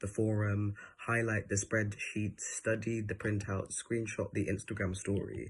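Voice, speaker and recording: A man's fairly low, somewhat breathy voice with monotone, flat intonation. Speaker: poet. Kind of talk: poetry reading. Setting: online event. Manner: halting.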